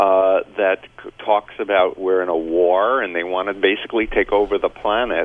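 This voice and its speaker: With an American accent, a man speaks at a moderate pace in a very deep, low pitch with monotone, flat intonation. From New York (Queens). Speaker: cult recovery expert and author. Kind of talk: radio talk show discussion. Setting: phone call.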